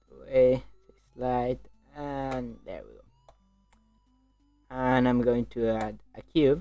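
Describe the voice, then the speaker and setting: A very slow delivery with a non-native accent, long, frequent pauses and music in the background. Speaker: livestreamer 3D modeler. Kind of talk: live stream tutorial. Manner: halting.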